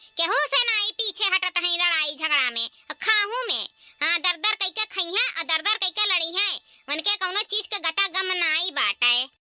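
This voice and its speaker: A woman's cartoonish character voice, extremely high-pitched with lively intonation, in a dry, close sound with no echo. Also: moderate pace. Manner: dramatic, exclamatory.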